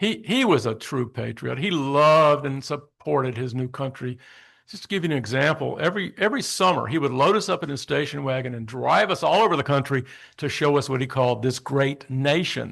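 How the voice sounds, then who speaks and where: Against a quiet background, a man speaks at a fairly quick pace and fairly high pitch with lively intonation. Vocal fry runs through his voice. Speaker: public speaker on father's Holocaust resistance. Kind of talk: public talk with slides. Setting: community center audience.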